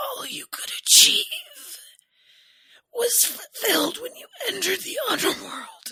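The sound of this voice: A put-on character voice, extremely high, strained and wheezy. It moves at a moderate pace with long, frequent pauses.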